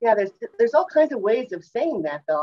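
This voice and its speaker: Here a woman talks. There is ordinary variation in her pitch. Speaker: class teacher sharing slides. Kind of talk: class discussion lecture. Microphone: video call.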